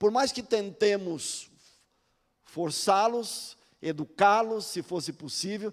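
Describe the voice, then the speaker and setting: Speaking at a very slow pace with long, frequent pauses, a man uses a high pitch and ordinary pitch variation. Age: 60s. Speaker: pastor. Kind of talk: sermon.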